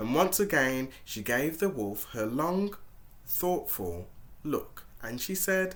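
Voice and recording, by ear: Text is read aloud in a natural voice.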